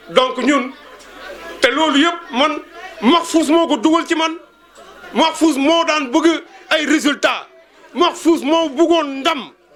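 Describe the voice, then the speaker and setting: Amid crowd noise in the background, a man with an extremely high pitch talks at a very slow pace, with fairly even intonation and long, frequent pauses. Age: 60s. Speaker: schoolteacher. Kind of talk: speech at a reunion.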